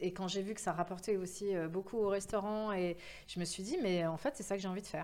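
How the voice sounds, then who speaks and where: A woman speaks at a moderate pace. Her tone is energetic. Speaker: event agency founder. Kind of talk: interview. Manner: hesitant with fillers.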